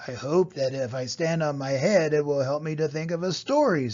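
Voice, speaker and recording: Putting on a character voice, a man speaks at a moderate pace and a fairly high pitch over light background noise. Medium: read story.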